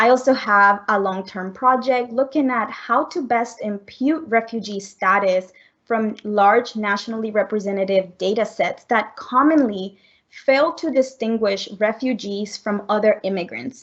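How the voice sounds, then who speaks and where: A woman speaks with a Spanish accent. Her pace is fairly slow and her pitch fairly high. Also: ordinary pitch variation. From Colombia. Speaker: economics professor. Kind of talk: research presentation.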